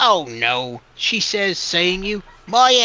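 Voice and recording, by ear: A passage is read aloud in a natural voice.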